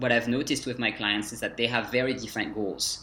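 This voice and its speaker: A very fast-talking man with a French accent over noticeable background noise. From France, Dijon. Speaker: French language coach. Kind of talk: interview.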